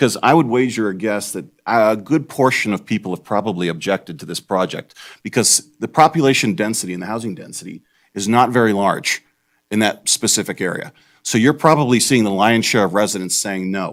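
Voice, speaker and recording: Someone talks at a fairly quick pace on a very clean recording with a silent background. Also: man, fairly low pitch for a man, ordinary pitch variation. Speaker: member of the public giving comment. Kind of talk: public comment testimony. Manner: fast when excited.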